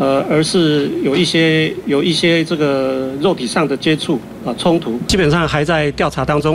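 There is noticeable background noise as a man talks with a Taiwanese accent. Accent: Taiwanese Mandarin. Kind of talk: TV political talk show discussion. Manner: repetitive fillers and self-corrections.

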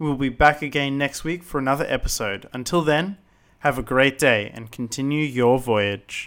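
A man with an Australian accent speaks at a moderate pace and a fairly high pitch with ordinary pitch variation, in a very clean recording with a silent background. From Brisbane, Australia. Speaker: podcast co-host. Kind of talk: scripted outro; podcast interview.

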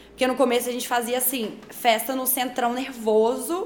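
This woman's voice is high, with fairly even intonation. Audible room echo and noticeable background noise surround her. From Brazil, Belo Horizonte. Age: 20s. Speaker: DJ. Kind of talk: casual interview chat.

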